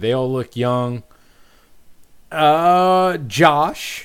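Lively intonation marks this man speaking with an American accent. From US Midwest. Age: 30s. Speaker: podcast host and serving soldier. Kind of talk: casual chat. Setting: video call. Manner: animated.

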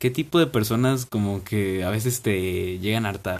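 A man speaks at a medium pitch with a Mexican accent. His pitch varies in an ordinary way. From Mexico. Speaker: podcast host. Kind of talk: casual chat.

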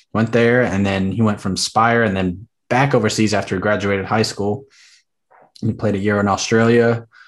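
In an American accent, a man speaks at a fairly low pitch in a plain, everyday voice. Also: quiet background. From US South. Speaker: podcast host. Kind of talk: casual chat.

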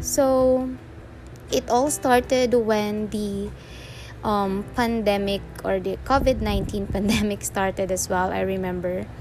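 A woman with a Filipino accent speaks very slowly. Noticeable background noise can be heard. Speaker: freelancer and podcaster. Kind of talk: casual monologue. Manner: halting.

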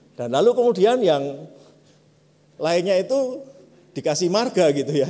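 A man with a Javanese accent speaks using lively intonation. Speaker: pastor. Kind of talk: sermon.

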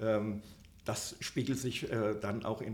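Somewhat breathy, a man speaks at a very slow pace. His pitch is medium and his intonation fairly even. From Upper Hesse, Germany. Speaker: trade magazine publisher. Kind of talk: interview. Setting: hotel recording room. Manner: hesitant, many fillers.

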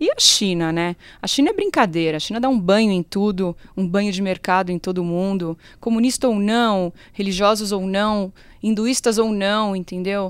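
A woman with an ordinary speaking voice, ordinary pitch variation, and a moderate pace, in a very clean recording with a silent background. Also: medium pitch for a woman. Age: 30s. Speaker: funeral marketing consultant and consumer researcher. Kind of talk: casual interview chat.

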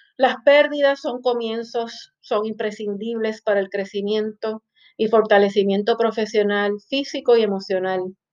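A woman speaks with a Puerto Rican accent and a fairly high pitch. Her pace is fairly slow and her intonation fairly even. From Puerto Rico. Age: 40s. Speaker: podcast host and finance professor. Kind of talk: solo podcast monologue.

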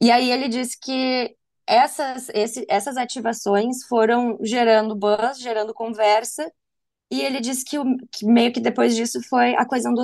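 A woman speaks fairly slowly in an ordinary speaking voice. Her pitch is fairly high and varies in an ordinary way. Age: 30s. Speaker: advertising professional and film buff. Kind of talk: casual chat.

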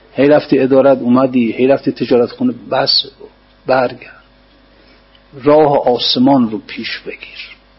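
A man talks at a fairly slow pace with a monotone, flat intonation and long, frequent pauses. Noticeable background noise is present. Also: medium pitch for a man. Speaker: religious scholar teaching poetry commentary. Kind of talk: lecture.

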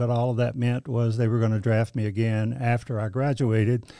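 A man with a Southern US accent speaks at a moderate pace in a medium pitch, his dark, mellow tone and fairly even intonation captured on a very clean recording with a silent background. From eastern North Carolina. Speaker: church administrator. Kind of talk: casual interview. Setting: studio.

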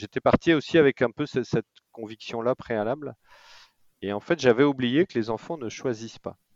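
A man at a moderate pace and medium pitch, with ordinary pitch variation and big swings in loudness. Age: 40s. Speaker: expatriate entrepreneur. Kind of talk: interview. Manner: halting.

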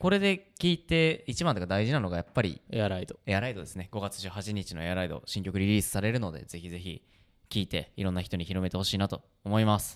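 A man's animated, very fast delivery at a fairly low pitch with ordinary pitch variation, on a very clean recording with a silent background. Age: 20s. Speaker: band musician and podcast host. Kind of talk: casual chat.

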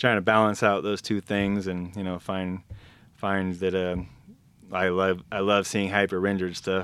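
A man's very deep, low voice with an American accent, fairly slow and monotone, with flat intonation. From Arizona. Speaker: painter and graphic novel creator. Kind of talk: casual chat.

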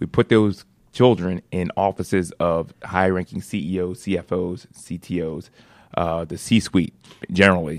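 A man with an American accent speaks very deep and low at a fairly slow pace. His intonation is fairly even, and the sound is dry and close with no echo. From Philadelphia. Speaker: nonprofit founder and CEO. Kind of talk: radio interview. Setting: studio.

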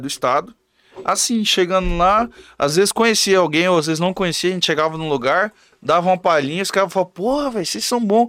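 Talking very fast, a man with a high voice uses lively intonation and a bright, sharp tone. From Mato Grosso do Sul, Brazil (Camapuã). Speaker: songwriter and musician. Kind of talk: casual chat.

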